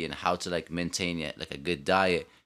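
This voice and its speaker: In a New York accent, a man talks at a moderate pace with a bright, sharp tone. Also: very clean recording, silent background. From Brooklyn, New York. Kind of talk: casual chat. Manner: hyper, high energy.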